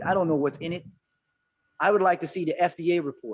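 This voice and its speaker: An ordinary speaking voice with fairly even intonation. The pace is fairly quick. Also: man. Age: 50s. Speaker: herbalist. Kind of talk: panel discussion.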